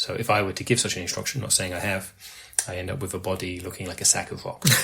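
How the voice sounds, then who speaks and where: With an English accent, a man speaks at a very deep, low pitch and a very fast pace. His intonation stays fairly even over noticeable background noise. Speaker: podcast co-host. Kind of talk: casual chat.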